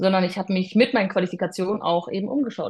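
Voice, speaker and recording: A woman talks with a somewhat breathy voice at a medium pitch, her pitch varying in an ordinary way. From southwestern Germany (Freiburg im Breisgau). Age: 30s. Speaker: private security professional. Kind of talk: interview.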